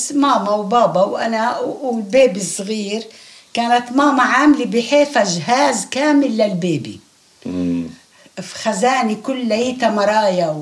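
There is noticeable background noise as a woman with a fairly high pitch speaks at a fairly slow pace. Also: ordinary pitch variation. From Palestine, Haifa. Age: 80s+. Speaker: refugee interviewee. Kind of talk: oral history interview.

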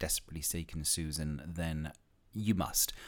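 On a very clean recording with a silent background, a man with an English accent speaks fairly slowly with lively intonation. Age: 50s. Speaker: podcast host. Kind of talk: solo podcast monologue. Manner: casual, chatty with many fillers.

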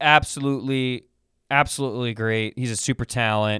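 On a very clean recording with a silent background and a dry, close sound with no echo, a man talks at a medium pitch with fairly even intonation. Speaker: sports podcast host. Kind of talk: casual solo sports commentary.

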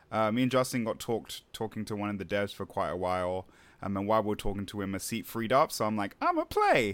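A man talks at a very fast pace, his fairly low voice holding a fairly even intonation. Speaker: podcast host. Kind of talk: casual chat.

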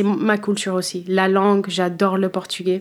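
A woman speaking at a very slow pace. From United States (Philadelphia area), born in Cape Verde. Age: 30s. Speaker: wine professional, former sommelier. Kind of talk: interview. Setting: studio. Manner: halting, many hesitations.

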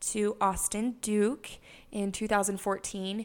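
A woman speaks with an American accent in a monotone, flat delivery. The recording is very clean, with a silent background. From Utah, US. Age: 20s. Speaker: podcast host, wellness coach. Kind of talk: solo monologue podcast. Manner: halting, frequent fillers.

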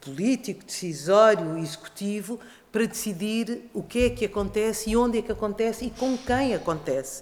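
A normal speaking voice from a woman, fairly high-pitched, moderate in pace, with ordinary pitch variation. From Portugal. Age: 50s. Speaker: actress and stage director. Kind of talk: panel discussion.

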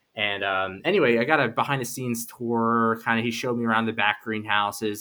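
Speech comes at a fairly quick pace, with ordinary pitch variation. An American accent is heard. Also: man. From Philadelphia, US. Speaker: horticulture researcher. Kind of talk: podcast interview. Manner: halting.

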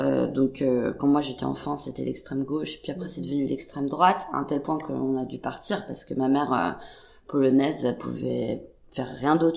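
Pitch moves up and down in an ordinary way. The delivery is neither fast nor slow, at a moderate pace. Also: woman. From France and Denmark. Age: 30s. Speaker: painter. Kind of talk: casual chat. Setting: artist's studio. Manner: halting.

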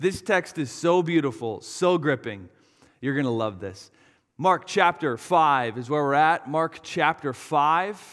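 A fairly slow, unremarkable speaking voice from a man, fairly high in pitch and with lively intonation. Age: 30s. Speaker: pastor. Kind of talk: sermon.

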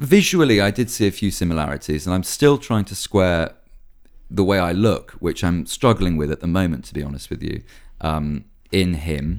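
A man with a very deep, low pitch talks at a fairly quick pace with lively intonation. The recording is very clean, and the background is silent. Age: 20s. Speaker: actor and writer. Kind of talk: casual chat.

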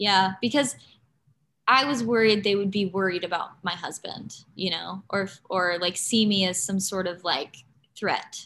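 With an unremarkable speaking voice, a woman talks at a fairly slow pace and medium pitch with ordinary pitch variation, recorded very cleanly against a silent background. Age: 30s. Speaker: actor and YouTuber. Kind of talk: casual chat.

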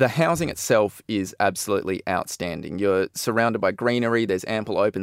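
At a fairly quick pace, a man with an Australian accent speaks at a fairly low pitch with ordinary variation. The recording is very clean, with a silent background. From Perth, Western Australia. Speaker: researcher. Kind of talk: casual radio chat.

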